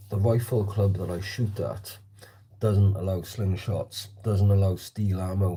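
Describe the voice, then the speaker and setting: A man's fairly low, somewhat breathy voice with a dark, mellow tone, flat monotone intonation and a fairly slow pace, on a very clean recording with a silent background. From South Wales. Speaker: slingshot shooter livestreamer. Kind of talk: casual livestream chat. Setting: livestream shooting in hallway at home.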